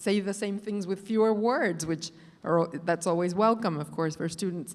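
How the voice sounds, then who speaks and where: A moderate pace with ordinary pitch variation and a non-native accent. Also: woman. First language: not English. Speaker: professor. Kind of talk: panel discussion.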